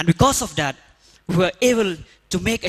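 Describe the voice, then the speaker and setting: A man with a Northeast Indian accent, recorded with a dry, close sound and no echo. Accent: Indian (Khasi) English. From Meghalaya, India. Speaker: rural development worker. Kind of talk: conference talk.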